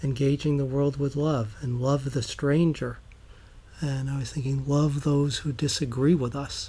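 Speaking at a fairly slow pace with an American accent, a man has a fairly high pitch, a dark, mellow tone, a somewhat breathy sound, and fairly even intonation. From US Northeast, New York. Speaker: guest, climate activist and synagogue member. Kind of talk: casual interview conversation.

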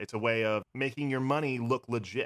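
The sound is dry and close with no echo as a man of medium pitch talks with ordinary pitch variation. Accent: American. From Pennsylvania. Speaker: podcast host and actor. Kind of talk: casual chat.

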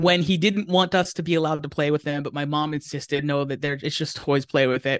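A man with an American accent and a fairly high pitch speaks at a very fast pace with hardly any pauses and fairly even intonation, the sound dry and close with no echo. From Pennsylvania, US. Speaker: comic book writer. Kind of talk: casual interview. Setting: video call.

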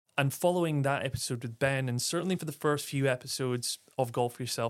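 A man with an Aberdeen accent at a moderate pace. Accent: Scottish (Aberdeen). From Aberdeen, northeast Scotland. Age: 30s. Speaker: podcast host. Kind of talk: solo podcast monologue.

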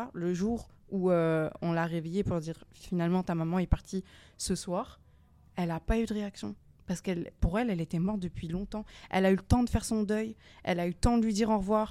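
Fairly quick and fairly even in intonation, a woman's dark, mellow voice comes through on a very clean recording with a silent background. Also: medium pitch for a woman. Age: 20s. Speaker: youth centre podcast participant. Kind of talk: casual discussion.

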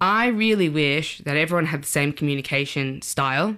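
At a moderate pace, a woman with a very deep, low pitch and a bright, sharp tone speaks in a very clean recording with a silent background. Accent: Australian. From Sydney, Australia. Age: 30s. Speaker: journalist. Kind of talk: casual chat.

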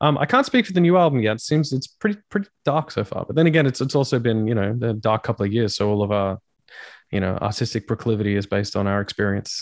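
Very fast, lively speech from a man with an Australian accent, dry and close with no echo, over a quiet background. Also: medium pitch for a man. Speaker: rock singer. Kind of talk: casual chat.

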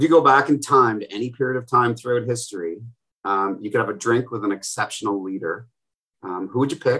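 A man's medium-pitched voice has a bright, sharp tone and ordinary pitch variation at a fairly quick pace. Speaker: podcast host. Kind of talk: interview.

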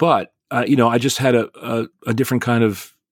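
Heard in a very clean recording with a silent background and a dry, close sound with no echo, a man with an American accent and an ordinary speaking voice talks at a medium pitch and a moderate pace. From northern New Jersey. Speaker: stage actor and theater professor. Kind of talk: casual interview.

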